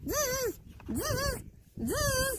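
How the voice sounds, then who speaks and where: A put-on character voice, squeaky and at an extremely high pitch, does the talking. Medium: read story.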